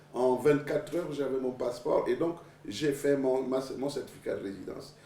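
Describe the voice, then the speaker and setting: At a fairly quick pace and medium pitch, a man talks in a plain, everyday voice. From Gabon. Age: 60s. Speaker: presidential candidate. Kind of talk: TV interview. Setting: TV studio.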